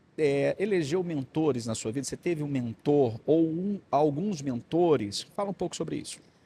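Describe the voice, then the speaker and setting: A man with a dark, mellow, somewhat breathy tone speaks at a fairly high pitch with lively intonation and hardly any pauses. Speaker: podcast host. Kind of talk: interview. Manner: fast.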